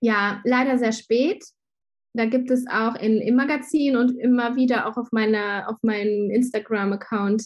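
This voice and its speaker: This woman's voice is somewhat breathy and fairly high in pitch, with fairly even intonation. She speaks at a fairly slow pace against a quiet background. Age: 30s. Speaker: graphic designer and shop owner. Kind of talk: casual interview. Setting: video call.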